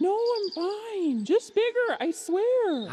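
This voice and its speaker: In a put-on character voice pitched extremely high, the speaker talks at a very slow pace over light background noise. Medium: audio drama. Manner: hesitant.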